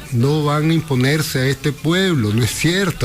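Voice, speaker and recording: A man's fairly quick, fairly high-pitched speech with a Nicaraguan accent, over noticeable background noise. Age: 60s. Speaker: radio interview guest, social commentator. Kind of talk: radio interview, political discussion.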